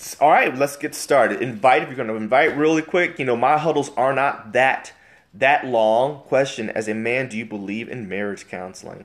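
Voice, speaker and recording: Animated in tone, a man at medium pitch speaks at a moderate pace with ordinary pitch variation and big swings in loudness. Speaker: marriage livestream host. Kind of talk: live stream chat reading viewer comments.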